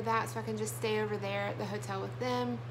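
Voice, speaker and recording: Speaking with an American accent, a woman with a very deep, low pitch is heard over noticeable background noise. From US South, southern Alabama. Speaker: vlogger. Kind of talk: casual vlog talk to camera. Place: home room. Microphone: phone near.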